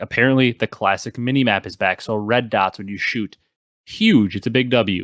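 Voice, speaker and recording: Recorded very cleanly against a silent background, a man speaks at a medium pitch with ordinary pitch variation. The sound is dry and close, with no echo. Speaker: gaming podcast host. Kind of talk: casual chat. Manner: fast.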